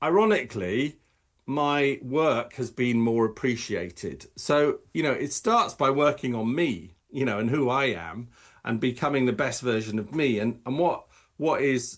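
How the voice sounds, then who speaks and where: A man with an English accent at a fairly slow pace, over a quiet background. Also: medium pitch for a man, lively intonation. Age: 60s. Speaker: optometrist and professional coach. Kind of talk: podcast interview. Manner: halting.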